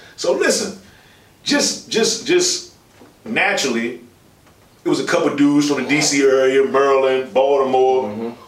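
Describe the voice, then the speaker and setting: Over audible room echo, a man speaks at a moderate pace with very wide pitch swings. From Washington DC, Southeast/uptown. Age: 30s. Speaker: podcast host. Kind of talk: casual chat.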